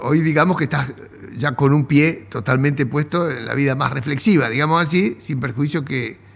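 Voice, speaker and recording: A somewhat breathy, fairly high male voice with an Argentine accent, at a moderate pace and with ordinary pitch variation. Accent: Argentine Spanish (Rioplatense). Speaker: economics interviewer. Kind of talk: interview.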